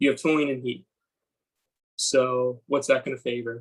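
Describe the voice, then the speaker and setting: A man's somewhat breathy, fairly high-pitched voice with fairly even intonation. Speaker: student tutor. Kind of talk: tutorial.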